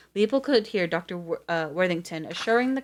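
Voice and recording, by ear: The intonation is lively here. The text is read aloud in a natural voice.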